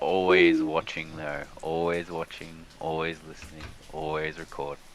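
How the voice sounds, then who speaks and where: A man with an Australian accent speaks at a fairly slow pace in a very deep, low voice with monotone, flat intonation. Noticeable background noise is present. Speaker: day trader, livestream co-host. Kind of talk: casual chat over live trading.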